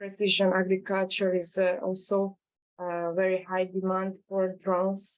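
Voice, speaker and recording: A woman in a Hungarian accent, medium in pitch, at a fairly slow pace. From Hungary. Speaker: drone startup founder. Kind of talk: webinar presentation. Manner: halting, many fillers.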